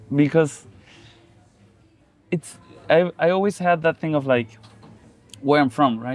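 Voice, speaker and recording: A man with a Spanish accent speaks at a fairly slow pace, leaving long, frequent pauses. His pitch is fairly high, with ordinary variation. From Chile. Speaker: musician. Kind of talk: casual interview conversation. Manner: meandering, halting.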